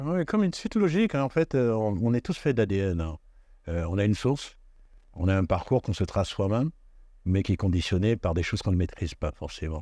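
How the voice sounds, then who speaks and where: Against a quiet background, a man with a fairly low voice and a dark, mellow tone talks at a fairly quick pace with lively intonation. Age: 60s. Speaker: actor and dubbing studio owner. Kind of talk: interview. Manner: hesitant, many fillers.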